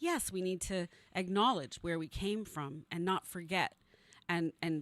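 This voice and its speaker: This woman has a normal speaking voice, fairly low in pitch with ordinary pitch variation, talking at a fairly slow pace in a dry, close sound with no echo. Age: 60s. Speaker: news site publisher. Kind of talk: casual chat.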